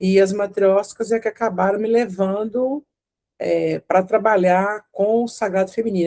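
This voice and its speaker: A dark, mellow tone with fairly even intonation, in a Minas Gerais accent. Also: woman. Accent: mineiro Brazilian Portuguese. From Brazil, Minas Gerais (Belo Horizonte). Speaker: retired lawyer and women's circle facilitator. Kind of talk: interview. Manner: hesitant, many fillers.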